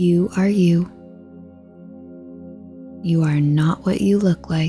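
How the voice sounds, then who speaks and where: With music in the background, a woman speaks in a calm, soothing tone at a very slow pace with ordinary pitch variation. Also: fairly low pitch for a woman, very even loudness. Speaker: meditation guide. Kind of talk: guided meditation. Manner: calm, slow, soothing.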